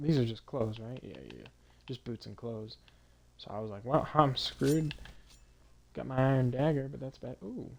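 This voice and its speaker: A man speaks quietly at a medium pitch, his intonation fairly even. He leaves long, frequent pauses, and his loudness swings widely. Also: moderate pace. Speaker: gaming streamer. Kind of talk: let's play commentary. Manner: casual, halting with fillers.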